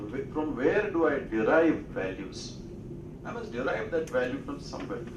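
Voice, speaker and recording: A man with an Indian accent, fairly high pitch, and very wide pitch swings, plus audible room echo and noticeable background noise. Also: moderate pace. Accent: Indian English (Telugu). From India (Telugu-speaking region). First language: Telugu. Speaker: speaker. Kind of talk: lecture.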